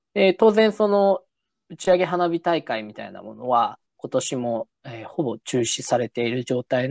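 A high-pitched man's voice with very wide pitch swings, in a dry, close sound with no echo and a quiet background. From Japan, Nagasaki. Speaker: podcast host. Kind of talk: casual chat. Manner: halting, many fillers.

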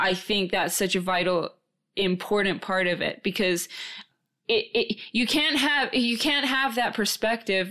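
An ordinary speaking voice: a woman with an American accent, fairly high in pitch, at a fairly slow pace, with lively intonation and very even loudness. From born in New Zealand, raised in Minnesota and Tajikistan. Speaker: podcast co-host and guest being interviewed. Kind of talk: casual interview conversation.

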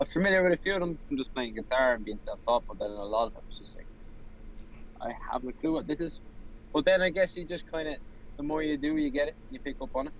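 A man's fairly high voice in an Irish accent, very fast, with lively intonation. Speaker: singer-songwriter. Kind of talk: interview. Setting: video call from a parked car. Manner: laughs often.

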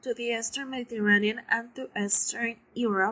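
A fairly high-pitched woman with a Spanish accent, a bright, sharp tone, fairly even intonation and a moderate pace. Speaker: guest co-narrator. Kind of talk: scripted narration.

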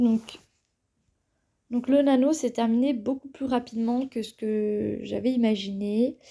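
A woman speaks very slowly with long, frequent pauses, her fairly high voice carrying a dark, mellow tone and fairly even intonation. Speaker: podcaster and engineering student. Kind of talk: solo podcast monologue. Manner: hesitant with frequent fillers.

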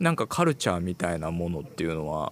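A man speaks with very wide pitch swings. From Japan. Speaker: music producer, LA correspondent. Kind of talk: casual chat over remote link. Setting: remote connection from LA.

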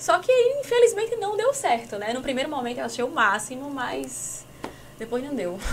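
A woman speaks at a moderate pace. Noticeable noise fills the background. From Paraíba, Brazil. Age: 30s. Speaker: digital influencer and entrepreneur. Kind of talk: casual chat. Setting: studio.

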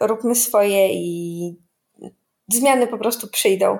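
A woman is speaking. Her pace is very slow. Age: 20s. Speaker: tax lawyer, trainee advocate, coaching client. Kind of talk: interview. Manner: hesitant with fillers and repetitions.

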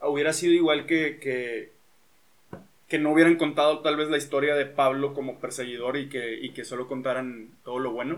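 A man with a plain, everyday voice speaks at a moderate pace, fairly high in pitch, with fairly even intonation. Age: 20s. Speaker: podcast host, engineer and musician. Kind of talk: casual chat. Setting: home recording.

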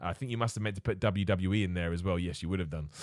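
In an English accent, a man speaks in an upbeat tone in a very clean recording with a silent background. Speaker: wrestling podcast host. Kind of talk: casual solo podcast chat, live stream. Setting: live stream with chat. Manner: loud, upbeat, positive.

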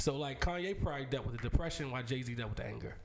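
Talking at a very fast pace, a man with a fairly high pitch uses vocal fry. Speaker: podcast host. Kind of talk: casual chat.

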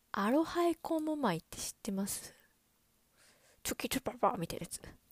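A woman speaks in an animated tone with very wide pitch swings. The sound is dry and close with no echo, on a very clean recording with a silent background. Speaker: podcast host. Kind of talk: solo casual chat. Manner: fast; animated, laughing often.

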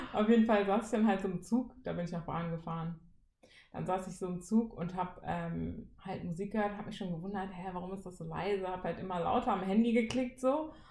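A woman talks at a fairly quick pace, her tone dark and mellow and somewhat breathy. Her loudness swings widely, her pitch varies in an ordinary way, and room echo is audible. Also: medium pitch for a woman. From Siegen, western Germany. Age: 20s. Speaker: trainee teacher, podcast co-host. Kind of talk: casual chat.

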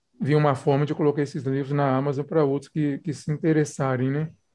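In a quiet background, a man speaks at a fairly high pitch with a dark, mellow tone. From Belo Horizonte, Minas Gerais, Brazil. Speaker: poet. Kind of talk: interview. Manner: halting, repeats words.

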